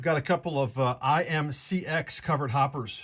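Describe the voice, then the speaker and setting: The man's voice sits fairly high and sounds somewhat breathy. His pitch varies in an ordinary way. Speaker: model train hobbyist streamer. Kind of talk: live stream product walkthrough. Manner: fast.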